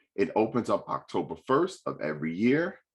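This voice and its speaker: Over a quiet background, a man with a New York accent speaks in an animated tone. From New York City. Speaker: state financial aid representative. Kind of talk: panel presentation. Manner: fast.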